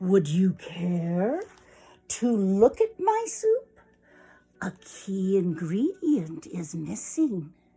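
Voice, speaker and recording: Using a put-on character voice, a woman talks at a medium pitch. Her delivery is very slow. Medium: read story. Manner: overly polite, smooth.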